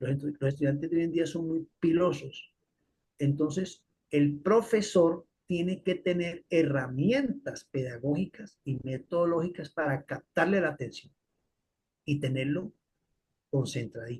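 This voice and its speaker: A man's fairly high voice, a plain, everyday voice, with ordinary pitch variation at a fairly slow pace. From Colombia. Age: 60s. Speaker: physiology professor. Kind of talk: lecture.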